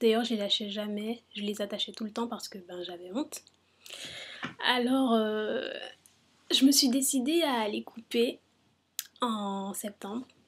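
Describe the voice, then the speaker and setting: A woman speaks at a very slow pace and fairly high pitch, with ordinary pitch variation. Her loudness swings widely, and she takes long, frequent pauses. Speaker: hair care vlogger. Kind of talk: casual talk to camera. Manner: whispered; hesitant, many fillers.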